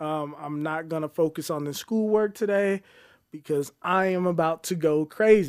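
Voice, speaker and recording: With a plain, everyday voice, a man talks at a moderate pace at a fairly high pitch with ordinary pitch variation, on a very clean recording with a silent background. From Colorado Springs, Colorado, US. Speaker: cybersecurity researcher. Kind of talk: casual interview chat.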